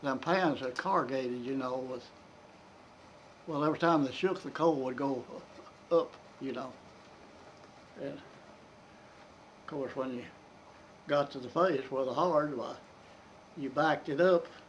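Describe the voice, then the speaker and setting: A man with a Kentucky accent talks fairly slowly, leaving long, frequent pauses. His voice is fairly high and fairly even in intonation, with big swings in loudness. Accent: Southern American (Kentucky). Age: 80s+. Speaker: retired coal miner. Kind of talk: interview answer. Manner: storytelling, casual.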